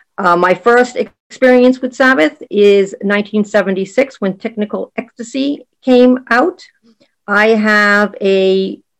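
Speaking with a Boston accent, a woman uses a medium pitch and ordinary pitch variation. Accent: Boston American. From Boston, Massachusetts. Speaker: podcast host. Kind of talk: recorded personal story.

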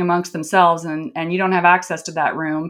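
A woman in a Midwestern US accent, medium in pitch, at a fairly quick pace with fairly even intonation. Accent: General American, Midwestern. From US Midwest, rural. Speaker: business journalist and author. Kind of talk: interview.

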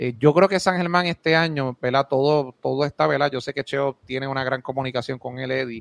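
A man with a Puerto Rican accent talks at a fairly quick pace with a medium pitch. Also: fairly even intonation, dry, close sound with no echo. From Puerto Rico, Moca. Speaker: basketball commentator. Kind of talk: casual chat.

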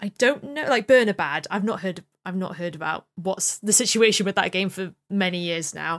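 A woman's normal speaking voice at a medium pitch, moderate pace and ordinary pitch variation, with hardly any pauses and a dry, close sound with no echo. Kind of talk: casual chat.

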